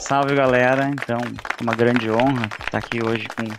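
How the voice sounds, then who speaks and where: Over crowd noise in the background, a man with a southern Brazilian accent speaks at a moderate pace in a monotone, flat intonation. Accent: gaúcho accent, noticeable. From southern Brazil, Porto Alegre. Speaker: organizational transformation agent. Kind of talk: podcast interview.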